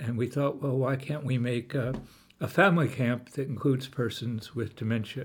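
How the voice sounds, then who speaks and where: Somewhat breathy man's voice at a medium pitch, moderate pace, and fairly even intonation. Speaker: pastor. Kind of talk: interview.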